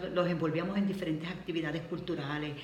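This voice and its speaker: Against noticeable background noise, a woman with a Puerto Rican accent talks at a fairly low pitch with fairly even intonation. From Puerto Rico. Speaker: retired schoolteacher. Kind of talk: interview answer.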